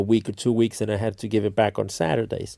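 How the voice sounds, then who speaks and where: A man talks at a very fast pace with a non-native accent. His medium-pitched voice has a dark, mellow tone. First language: not English. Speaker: streamer / content creator. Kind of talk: casual storytelling monologue. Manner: halting, many fillers and restarts.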